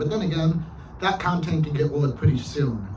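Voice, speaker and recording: A man at a fairly quick pace, ordinary pitch variation, audible room echo around him. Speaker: vlogger. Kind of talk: casual vlog monologue. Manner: hesitant, filler-heavy.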